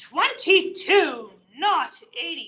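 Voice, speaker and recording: A shrill put-on character voice with very wide pitch swings. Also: woman, extremely high pitch for a woman. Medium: read story. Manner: shrieking, indignant.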